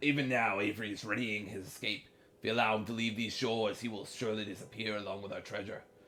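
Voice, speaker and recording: A man puts on a character voice at a medium pitch. He speaks at a very fast pace. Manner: gruff, dramatic reading.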